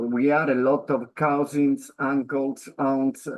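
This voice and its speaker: Speaking in an Italian accent, a man with a fairly high pitch keeps his intonation monotone and flat. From Sicily, Palermo then Catania. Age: 50s. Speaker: foundation president and radio presenter. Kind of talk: interview. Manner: halting, many hesitations.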